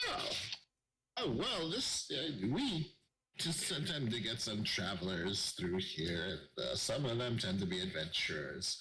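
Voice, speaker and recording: In a put-on character voice, a man of medium pitch speaks at a moderate pace with very wide pitch swings and very even loudness, and echo is audible. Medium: actual play. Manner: folksy, calls people dearie.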